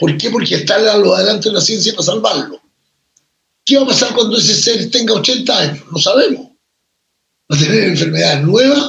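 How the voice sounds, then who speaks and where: Pausing long and often, a man with a high pitch talks at a fairly quick pace with very wide pitch swings. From Chile. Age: 70s. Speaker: writer and poet. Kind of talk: interview.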